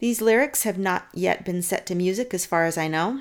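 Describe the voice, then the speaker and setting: Over a very clean recording with a silent background, a woman with a plain, everyday voice speaks at a medium pitch with ordinary pitch variation. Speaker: poet and podcast host. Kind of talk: poetry reading, spoken word, with scripture commentary. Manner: slow, reverent, measured, intimate.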